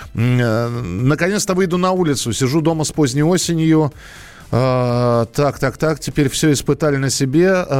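A man with an unremarkable speaking voice talks fairly slowly at a fairly high pitch, with ordinary pitch variation and very even loudness. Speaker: radio host. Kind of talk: live radio call-in show.

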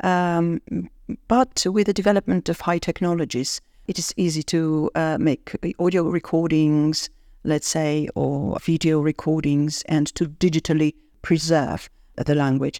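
A woman speaks with a very deep, low pitch at a fairly slow pace. Her pitch variation is ordinary. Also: dry, close sound with no echo. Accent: British. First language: not English. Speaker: university professor. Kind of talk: interview. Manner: hesitant with fillers.

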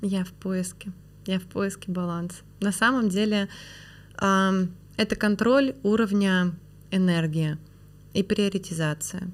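At a very slow pace with long, frequent pauses, a woman talks at a medium pitch with fairly even intonation. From Perm, Russia. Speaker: franchising expert and business founder. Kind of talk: casual interview conversation.

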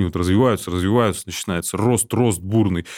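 In a dry, close recording with no echo, a man talks at a very deep, low pitch with ordinary pitch variation, the recording very clean and the background silent. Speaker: podcast co-host. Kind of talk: casual chat. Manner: blunt, colloquial.

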